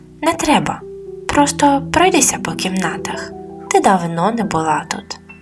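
With music in the background, a woman speaks at a fairly slow pace in a calm, soothing tone with lively intonation. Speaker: storyteller, channel host and author. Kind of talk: sleep story, bedtime story for adults. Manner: calm, soothing, slow.

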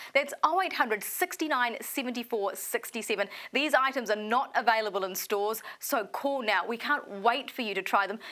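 With a New Zealand accent, the speaker has an upbeat tone, ordinary pitch variation and a fairly slow pace. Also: woman, fairly high pitch for a woman. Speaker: shopping channel presenter. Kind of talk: infomercial. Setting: studio. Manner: upbeat, persuasive, urgent sales patter.

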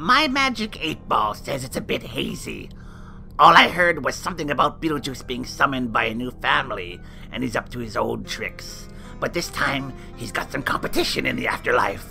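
Over clear background music, a man performs a cartoonish character voice at a moderate pace. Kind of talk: campy horror-host banter. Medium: puppet show. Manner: gossipy, catty, theatrical.

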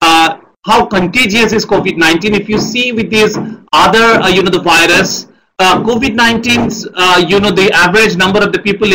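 A man uses a raised, projected voice at a moderate pace, with ordinary pitch variation over light background noise. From India. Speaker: government science advisor. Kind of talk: lecture. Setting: video call. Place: office.

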